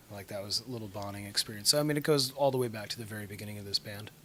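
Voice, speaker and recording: Soft-spoken, a man talks at a fairly low pitch. His tone is bright and sharp. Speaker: rock band singer. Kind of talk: interview. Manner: hesitant, filler-heavy.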